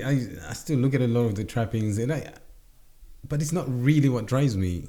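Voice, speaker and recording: A man's dark, mellow voice at medium pitch and a moderate pace, with long, frequent pauses and audible room echo. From Zimbabwe. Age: 40s. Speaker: entrepreneur. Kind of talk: interview. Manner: halting, many repetitions.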